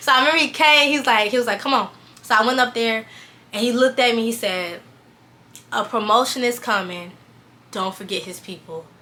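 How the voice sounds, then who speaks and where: A woman with a fairly high pitch and ordinary pitch variation talks at a fairly quick pace, with big swings in loudness and long, frequent pauses. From US South, Valdosta, Georgia. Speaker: fashion stylist and vlogger. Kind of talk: personal testimony. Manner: fast, rambling with fillers.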